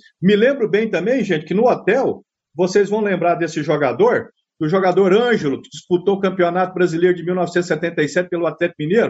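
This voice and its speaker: At a moderate pace, a high-pitched man speaks with ordinary pitch variation and big swings in loudness. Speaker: football fan. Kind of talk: interview.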